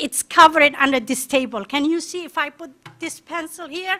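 A woman projects her raised voice at a moderate pace. Her tone is bright and sharp, with ordinary pitch variation. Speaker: parent. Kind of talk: public testimony. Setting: school board meeting. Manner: emphatic.

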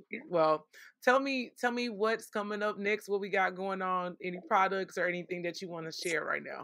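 In an American accent, a woman speaks at a medium pitch in a bright, sharp tone with ordinary pitch variation. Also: moderate pace. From Texas, south side of Fort Worth. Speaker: podcast host and life coach. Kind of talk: casual faith-based interview.

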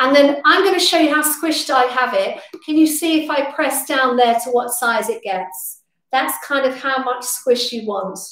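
A woman with a high pitch talks at a moderate pace, her pitch varying in an ordinary way, and the room echo is audible.

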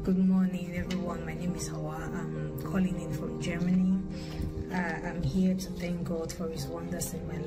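With loud music in the background, a woman speaks at a moderate pace. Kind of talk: religious testimony. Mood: grateful, earnest. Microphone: phone near.

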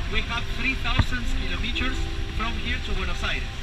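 Loud background noise sits behind a man's voice. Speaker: tour guide. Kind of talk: tour guide commentary. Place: bus.

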